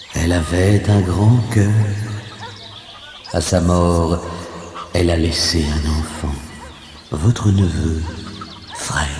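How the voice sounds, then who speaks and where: A man puts on a character voice, soft-spoken and very deep, at a very slow pace. There is clear background noise and a slight echo. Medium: read story. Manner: gentle but firm.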